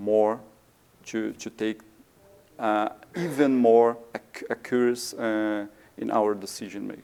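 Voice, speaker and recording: A man with a Portuguese accent speaks at a very slow pace. Background noise is noticeable. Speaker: maintenance engineer. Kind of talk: conference presentation. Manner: halting, many fillers.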